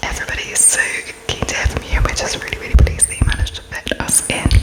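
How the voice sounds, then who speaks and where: Whispering in a British accent over background music. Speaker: ASMR creator. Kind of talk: ASMR roleplay interview, whispered and close-up.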